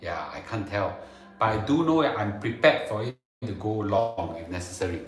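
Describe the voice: With strong room echo around him, a man speaks at a fairly low pitch with lively intonation. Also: moderate pace.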